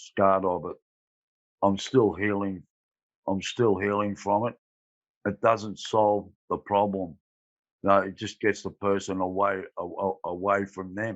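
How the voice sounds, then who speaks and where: An Australian-accented man speaks at a fairly slow pace in a fairly low, monotone voice, with long, frequent pauses. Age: 60s. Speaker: former prisoner. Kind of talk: testimony. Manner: halting.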